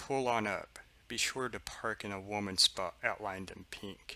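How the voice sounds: Using a put-on character voice, a man speaks nasally at a fairly low pitch. His pace is moderate and his intonation fairly even.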